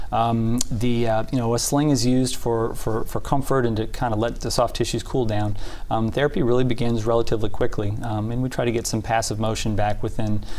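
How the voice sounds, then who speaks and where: A man with an American accent at a fairly quick pace, monotone and flat, with hardly any pauses and audible room echo. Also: medium pitch for a man. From Indiana, US Midwest. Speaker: orthopedic surgeon. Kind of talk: TV interview. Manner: halting, many fillers.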